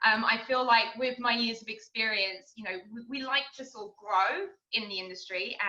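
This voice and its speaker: At a moderate pace and with a British accent, a woman speaks at a fairly high pitch with ordinary pitch variation and big swings in loudness. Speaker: restaurant server. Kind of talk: interview. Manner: halting.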